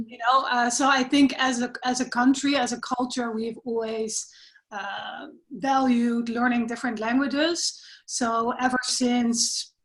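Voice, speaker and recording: Speaking with a Dutch accent, a woman uses a high voice, fairly even intonation and a fairly slow pace. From Netherlands. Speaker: environmental researcher and volunteer leader. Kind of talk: interview.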